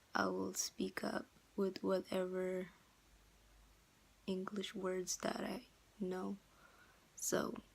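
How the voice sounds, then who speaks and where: Speaking very slowly with long, frequent pauses, a woman uses a medium pitch and has a slight non-native accent. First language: not English. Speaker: vlogger. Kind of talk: casual vlog monologue. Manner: hesitant, many fillers.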